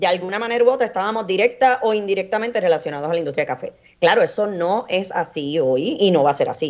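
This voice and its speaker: At a very fast pace, a woman of medium pitch speaks with very wide pitch swings. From Puerto Rico, Orocovis. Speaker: coffee grower and entrepreneur. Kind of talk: radio interview.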